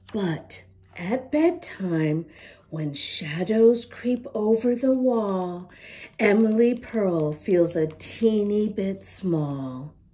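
This woman talks very slowly at a medium pitch. Her tone is dark and mellow, and her intonation is lively.

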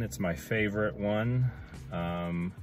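Faint music plays in the background while a man speaks. His voice is fairly low, the sound dry with no echo. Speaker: hiking vlogger. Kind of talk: casual vlog chat. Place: car. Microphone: phone near.

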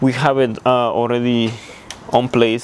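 There is light background noise. Over it, a man speaks at a fairly slow pace. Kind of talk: tutorial. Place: garage. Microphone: lapel.

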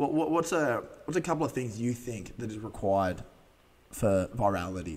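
A man with an Australian accent speaks at a moderate pace. His medium pitch moves in very wide swings. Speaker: podcast host. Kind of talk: casual chat. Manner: words run together. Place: studio. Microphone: studio mic.

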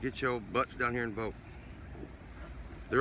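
A man's bright, sharp voice with fairly even intonation, dry with no echo, over light background noise. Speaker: selfie vlogger. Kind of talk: casual vlog chat. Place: street. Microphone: phone near.

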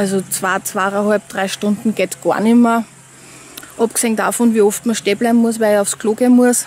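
A woman speaks in a monotone, flat way, with a dry sound and no echo. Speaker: vlogger. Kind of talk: casual vlog chat. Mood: chatty, candid. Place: waterside. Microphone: phone near.

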